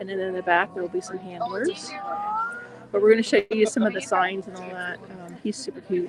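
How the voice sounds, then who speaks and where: Quiet speech comes at a fairly quick pace over noticeable background noise. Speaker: family travel vlogger. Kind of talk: live stream vlog commentary. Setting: outdoors at a nature center. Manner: talking quietly.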